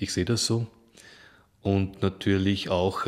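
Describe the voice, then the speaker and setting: The recording is very clean, and the background is silent. A man talks fairly slowly, his intonation fairly even. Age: 50s. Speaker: activist, former recruiter. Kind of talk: interview. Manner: hesitant, many fillers.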